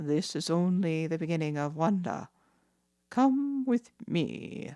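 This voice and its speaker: A woman puts on a character voice with a fairly low pitch. She goes at a fairly slow pace with very wide pitch swings. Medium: read story.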